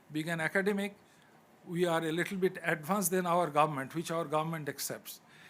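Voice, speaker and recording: Talking at a fairly quick pace, a man with a Bengali accent speaks at a high pitch with fairly even intonation. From Bangladesh. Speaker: academic. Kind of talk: panel discussion. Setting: conference side event.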